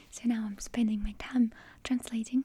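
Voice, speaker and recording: A woman speaks fairly slowly with a Russian accent. Her fairly high voice stays monotone and flat. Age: 20s. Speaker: published author. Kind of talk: ASMR rambling. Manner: soft-spoken.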